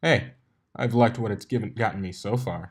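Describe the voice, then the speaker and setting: A man puts on a rumbling character voice at medium pitch. He moves at a fairly quick pace. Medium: read story. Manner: cocky, grumbling.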